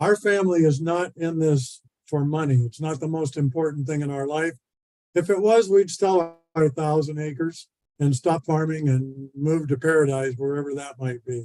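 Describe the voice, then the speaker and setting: In a Pacific Northwest accent, a man speaks at a moderate pace with a fairly high pitch and ordinary pitch variation. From Oregon, Washington County. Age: 70s. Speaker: farmer. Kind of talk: public testimony.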